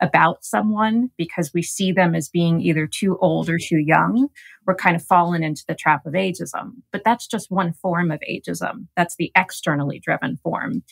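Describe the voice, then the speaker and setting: A woman with vocal fry and a fairly low pitch speaks at a moderate pace with ordinary pitch variation, on a very clean recording with a silent background, dry and close with no echo. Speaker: gerontologist. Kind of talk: interview.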